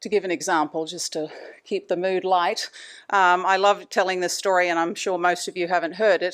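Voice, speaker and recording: A woman at medium pitch with monotone, flat intonation and a fairly quick pace, in a very clean recording with a silent background. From Australia. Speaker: anesthesia provider giving a talk. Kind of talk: lecture.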